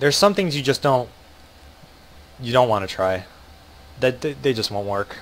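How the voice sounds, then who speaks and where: With an American accent and lively intonation, a man speaks at a moderate pace, leaving long, frequent pauses. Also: medium pitch for a man. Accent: American accent, remarked on by viewers. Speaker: video game streamer. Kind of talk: live gameplay commentary. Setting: livestream. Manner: casual, filler-heavy with frequent ums and restarts.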